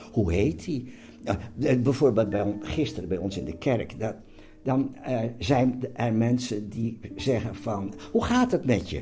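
At a very slow pace, a man speaks with a somewhat breathy, dark, mellow tone at medium pitch, with audible room echo. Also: ordinary pitch variation. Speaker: host's father. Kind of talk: casual chat. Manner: halting.

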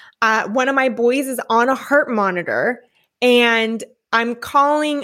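On a very clean recording with a silent background, a woman with a West Coast accent speaks fairly slowly in a high pitch. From California, Newport Beach. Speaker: podcast guest, former corporate team leader and mother. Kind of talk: personal story interview.

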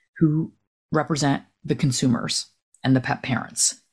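In an American accent, this woman talks at a very deep, low pitch. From New Jersey. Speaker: retired veterinarian. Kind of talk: interview conversation.

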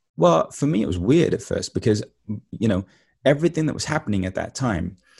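Calm in tone, a man with a London accent speaks at a fairly low pitch, dark, mellow and somewhat breathy. The background is quiet. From East London, England. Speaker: spiritual teacher and author. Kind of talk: interview.

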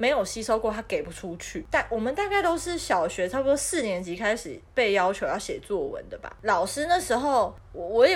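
At a moderate pace, a woman speaks with a Taiwanese accent. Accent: Taiwanese Mandarin. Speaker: podcast co-host. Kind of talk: casual chat.

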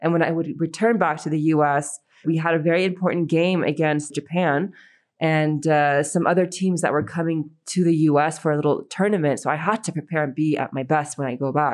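Against a quiet background, a woman with a very deep, low voice and an American accent speaks at a fairly quick pace with fairly even intonation. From United States. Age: 30s. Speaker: football player and coach. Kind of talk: interview.

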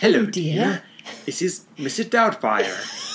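In a put-on character voice, raspy and middle in pitch, the speaker delivers the lines at a very slow pace.

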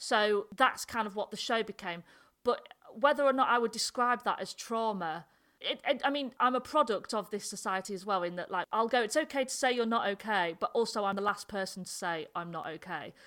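Fairly quick and lively in intonation, a woman speaks in a Yorkshire accent with a fairly high pitch and a bright, sharp tone. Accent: northern English (Yorkshire). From North Yorkshire, England. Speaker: comedian. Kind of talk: casual interview chat. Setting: video call.

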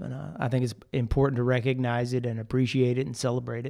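A man with a plain, everyday voice, a medium pitch and fairly even intonation moves at a fairly quick pace on a very clean recording with a silent background. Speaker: podcast host. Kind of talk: casual chat.

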